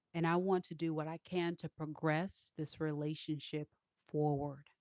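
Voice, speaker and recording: A woman speaks at a moderate pace with a very deep, low pitch. Her intonation is monotone and flat, and the sound is dry and close with no echo. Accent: slight country. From Southern California. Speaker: tarot reader. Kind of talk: live tarot reading stream. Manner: casual, chatty.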